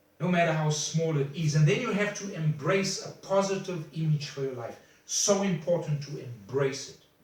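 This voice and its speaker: Amid noticeable background noise and audible room echo, a man with a fairly high pitch talks at a moderate pace, his loudness swinging widely. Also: ordinary pitch variation. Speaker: motivational speaker. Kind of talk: motivational talk. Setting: self-recorded video. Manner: halting.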